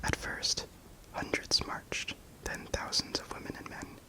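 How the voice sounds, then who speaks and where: Someone whispers at a moderate pace. Noticeable background noise can be heard. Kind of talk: whispered ASMR book reading. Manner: whispered, soft-spoken.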